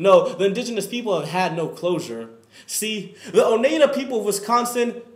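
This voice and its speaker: A man's high pitch shows ordinary variation as he talks at a moderate pace with noticeable background noise around him. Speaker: student. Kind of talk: spoken word performance.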